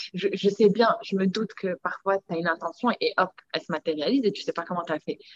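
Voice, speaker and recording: At a fairly quick pace, a normal speaking voice comes through with a dry, close sound with no echo and ordinary pitch variation. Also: woman. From Morocco. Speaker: entrepreneur, wellness enthusiast. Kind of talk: casual interview.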